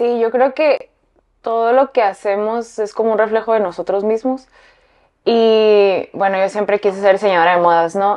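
A woman's fairly high voice, a normal speaking voice, at a fairly slow pace with fairly even intonation. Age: 30s. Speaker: fashion designer. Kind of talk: interview.

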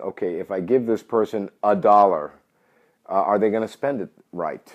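With a New York accent, a man speaks at a fairly quick pace in a fairly low pitch, with ordinary pitch variation. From New York City. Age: 50s. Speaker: gambling industry entrepreneur. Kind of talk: interview. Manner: direct.

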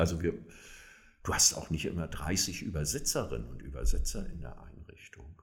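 Deep and very low, a man's voice with vocal fry moves at a moderate pace, its intonation lively and its loudness swinging widely. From northern Germany, near Kiel. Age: 60s. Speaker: social worker and homelessness advocate. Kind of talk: interview. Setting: in-person recording, same room.

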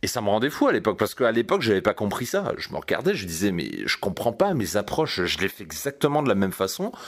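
Barely pausing, a man races along at a very fast pace with very wide pitch swings around a medium pitch. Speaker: dating coach and podcast host. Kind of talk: solo podcast monologue. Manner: calm, relaxed.

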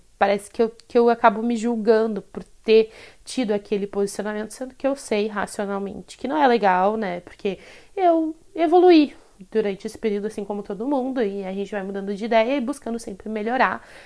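Here is an ordinary speaking voice from a woman with fairly high pitch, talking at a fairly quick pace. Her loudness swings widely, and the recording is very clean with a silent background. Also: ordinary pitch variation. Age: 20s. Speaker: podcast host, tarot reader and photographer. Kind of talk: solo casual monologue. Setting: solo recording.

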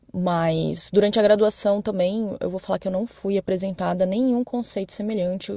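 Using a normal speaking voice, a woman talks at a moderate pace and medium pitch with ordinary pitch variation. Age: 30s. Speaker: doctor. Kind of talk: prepared statement.

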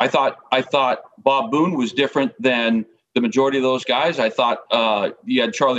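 With an American accent, an unremarkable speaking voice carries lively intonation. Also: man. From Northern California. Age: 50s. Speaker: baseball coach. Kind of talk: casual chat.

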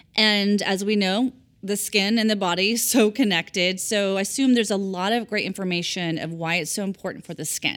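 A woman at a medium pitch with an unremarkable speaking voice, a fairly quick pace, hardly any pauses and fairly even intonation, on a very clean recording with a silent background. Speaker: podcast host. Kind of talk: interview intro and host questions, branded podcast.

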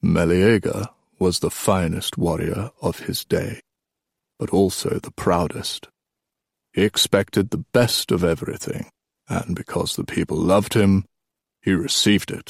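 A man in a put-on character voice speaks low and fairly slowly, with vocal fry and a slightly husky edge, in a dry, close sound with no echo. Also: fairly even intonation.

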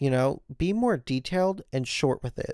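At a fairly slow pace, a man with a medium pitch speaks in a relaxed tone, the sound dry and close with no echo. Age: 20s. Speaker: podcast host. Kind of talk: casual monologue. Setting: recording in bed at home. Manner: relaxed, talkative; frequent fillers (um, uh).

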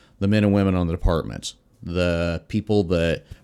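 On a very clean recording with a silent background, a man with an American accent speaks in a very deep, low pitch. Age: 50s. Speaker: fire chief. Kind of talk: casual interview.

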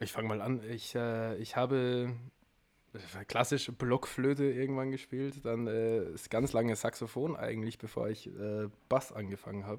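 Speaking at a moderate pace, the man has a medium pitch and fairly even intonation. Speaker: musician. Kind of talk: casual chat.

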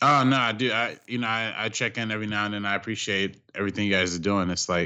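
A man's plain, everyday voice, fairly low in pitch, at a fairly quick pace. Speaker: film critic, director and YouTube creator. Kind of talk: casual film discussion.

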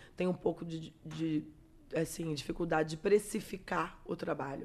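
Her pitch is very deep and low. She delivers her words at a moderate speed. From Espírito Santo, Brazil (Vitória). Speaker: digital influencer and makeup artist. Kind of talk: casual interview chat.

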